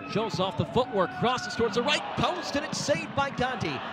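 A man's extremely high voice at a moderate pace, with noticeable background noise. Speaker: soccer play-by-play commentator. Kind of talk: live sports commentary, demo reel of college soccer play-by-play. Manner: excitable on goals, drops into calmer analysis between plays.

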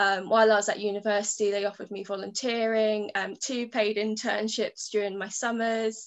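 A woman talks at a fairly high pitch with hardly any pauses, her intonation monotone and flat. The background is quiet. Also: moderate pace. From southern England, Kent. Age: 20s. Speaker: fine artist. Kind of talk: artist talk presentation. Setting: online webinar. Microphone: webcam.

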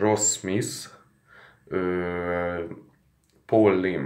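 Over a quiet background, a man speaks with a very deep, low pitch and fairly even intonation. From Hungary. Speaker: sports betting tipster; sports betting vlogger. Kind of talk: casual vlog monologue. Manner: hesitant with fillers. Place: home room. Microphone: phone near.

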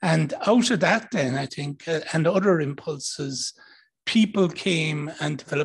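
Talking at a fairly slow pace, a man with an Irish accent has a fairly high pitch. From Ireland. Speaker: diplomat; panelist. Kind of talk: panel talk. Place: hall. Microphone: handheld.

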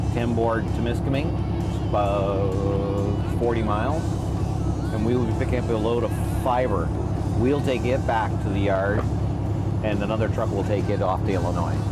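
Long, frequent pauses break up the speech while music plays in the background. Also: man, moderate pace. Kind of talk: interview answer. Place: car.

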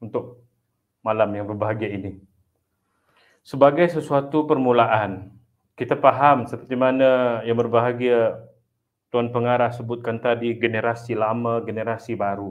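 Intonation holds fairly even. The delivery runs fairly slowly. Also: man. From Sabah, Malaysia. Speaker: Islamic studies academic; webinar speaker. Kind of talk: motivational talk. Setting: online webinar. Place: home room. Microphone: earbuds.

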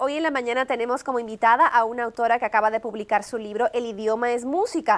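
A woman at a very fast pace. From outside the US, Latin America. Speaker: TV morning show host; TV show host. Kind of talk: TV interview. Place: studio.

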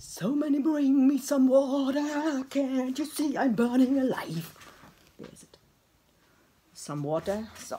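At a very slow pace with long, frequent pauses, a woman speaks in a high pitch over light background noise. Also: ordinary pitch variation. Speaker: pottery teacher. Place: workshop. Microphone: phone near.

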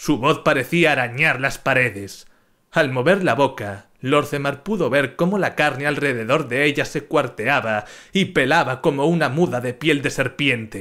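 A man speaks at a fairly slow pace in a dramatic, theatrical tone. His bright, sharp voice comes through a very clean recording with a silent background. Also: fairly high pitch for a man, ordinary pitch variation. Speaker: audiobook-style narrator. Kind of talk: dramatic narration of a fantasy story, reading aloud with character voices.

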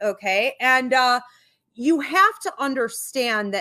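A woman speaks at a fairly slow pace in a high voice with a bright, sharp tone and lively intonation, against a quiet background. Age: 40s. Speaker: pastor and psychic medium; pastor. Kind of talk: sermon. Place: hall. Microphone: studio mic.

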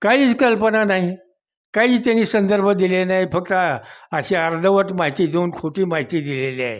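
This man speaks at a high pitch with lively intonation. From Maharashtra, Barshi taluka (Solapur district). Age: 80s+. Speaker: retired police investigator. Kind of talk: interview testimony.

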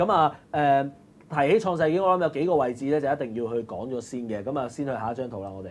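The delivery races at a very fast pace. Its intonation is lively. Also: man. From Hong Kong. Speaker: live stream host. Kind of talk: casual chat; casual livestream chat commentary. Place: studio.

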